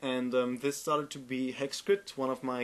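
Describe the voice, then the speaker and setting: A man with a German accent at a medium pitch. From Germany. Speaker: game developer and tutorial maker. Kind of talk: tutorial. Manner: halting, many fillers and repeats.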